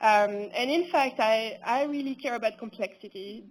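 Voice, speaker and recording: A woman speaks at a fairly high pitch with ordinary pitch variation. The recording is very clean, with a silent background. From France. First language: French. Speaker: researcher. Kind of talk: conference talk.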